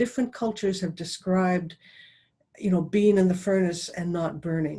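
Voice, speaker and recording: A woman speaks at a moderate pace, her pitch medium and her tone dark and mellow. The voice is somewhat breathy. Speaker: professional dowser. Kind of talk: presentation. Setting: video call.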